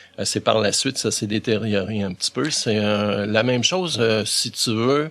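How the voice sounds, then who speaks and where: In an ordinary speaking voice, a man talks at a fairly slow pace and medium pitch with ordinary pitch variation. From Quebec, Montreal. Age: 60s. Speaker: volunteer for visually impaired people. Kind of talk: interview.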